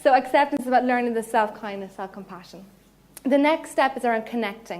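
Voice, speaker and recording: A woman's high-pitched voice at a very fast pace, with ordinary pitch variation. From Ireland, Cork. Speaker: psychologist. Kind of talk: lecture. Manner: animated.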